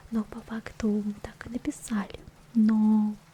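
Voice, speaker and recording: A soft-spoken whisper over noticeable background noise. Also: woman. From Russia. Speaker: ASMR creator and vtuber. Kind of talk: casual ASMR talk to camera. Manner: quiet, whispered, soft-spoken.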